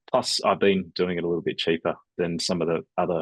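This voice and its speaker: Speaking very fast in a very deep, low voice, a man with an Australian accent sounds dry and close with no echo, against a quiet background. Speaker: email marketing agency owner. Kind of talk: business webinar presentation. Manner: casual, conversational.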